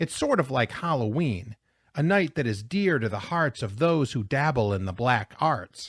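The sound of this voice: Against a quiet background, an unforced reading voice rises and falls with lively intonation.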